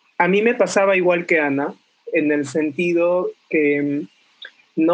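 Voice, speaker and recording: A man talks with fairly even intonation. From northern Peru, Trujillo. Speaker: teacher trainer. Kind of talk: recorded voice message answers.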